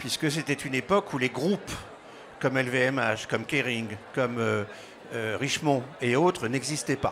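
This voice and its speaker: A man talks at a moderate pace in a medium pitch, with ordinary pitch variation, long and frequent pauses, and noticeable background noise. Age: 60s. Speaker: business school co-founder and director. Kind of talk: interview.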